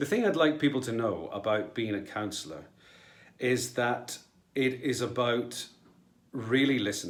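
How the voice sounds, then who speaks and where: In a Scottish accent, a man with a medium pitch speaks at a fairly slow pace with ordinary pitch variation. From Scotland. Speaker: local councillor and actor. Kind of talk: personal video statement.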